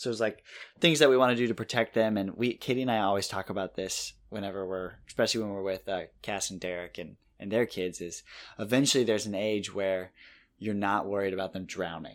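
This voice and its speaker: A man talks at a fairly quick pace in a plain, everyday voice with ordinary pitch variation. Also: fairly low pitch for a man. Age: 30s. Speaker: podcast co-host. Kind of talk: casual chat.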